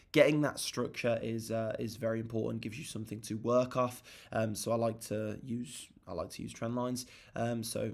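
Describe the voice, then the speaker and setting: Delivered at a moderate pace, a man's medium-pitched voice stays monotone, with flat intonation. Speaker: trading livestreamer. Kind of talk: live trading chart rundown. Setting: livestream at home. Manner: casual, hesitant with fillers.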